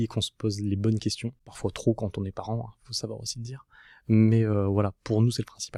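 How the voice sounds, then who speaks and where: A man speaks at a moderate pace in a monotone, flat intonation, his pitch fairly low and his tone dark and mellow. The recording is very clean with a silent background and a dry, close sound with no echo. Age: 30s. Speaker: podcast guest, family man emigrating to Canada. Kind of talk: casual interview. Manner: hesitant, many fillers.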